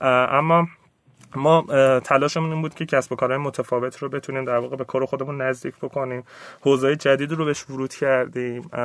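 A man speaks at a fairly quick pace in a monotone, flat intonation over a quiet background. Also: medium pitch for a man. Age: 30s. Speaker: innovation and investment consultant. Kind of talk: interview. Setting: studio.

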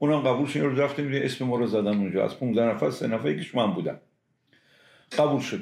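Speaking very fast, a man keeps an ordinary amount of pitch variation. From Iran, Semnan. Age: 70s. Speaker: pharmaceutical industry veteran. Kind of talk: interview, reminiscing.

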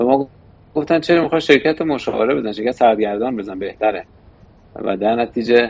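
A man is speaking. His pace is fairly quick. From Iran, Shiraz. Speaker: investment firm board member. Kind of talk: interview. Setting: studio.

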